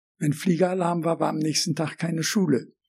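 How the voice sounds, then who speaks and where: Speaking with fairly even intonation, the man has a high pitch. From Germany, Berlin. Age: 80s+. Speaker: eyewitness of the Nazi era. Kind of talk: oral history interview. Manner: halting.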